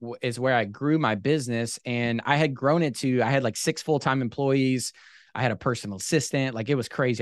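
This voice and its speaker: This man talks at a fairly quick pace. His pitch sits at a medium level. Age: 20s. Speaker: boat detailing business owner. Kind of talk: casual chat. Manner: animated.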